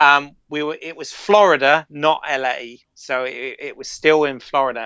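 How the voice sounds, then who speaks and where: Here a man with a British accent and a fairly high pitch speaks at a moderate pace. His intonation is fairly even, with big swings in loudness. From Britain. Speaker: filmmaker and podcast co-host. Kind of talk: casual chat. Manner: halting, many repeated words.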